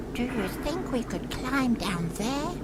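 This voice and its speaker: A female-sounding put-on character voice speaks at a fairly slow pace over loud background noise. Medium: game stream. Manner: soft, cautious, gentle.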